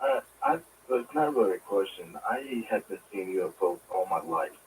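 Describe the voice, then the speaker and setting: Over noticeable background noise, a man speaks quietly at a moderate pace. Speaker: caller, navy veteran. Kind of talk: call-in radio question. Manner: quiet, hard to hear.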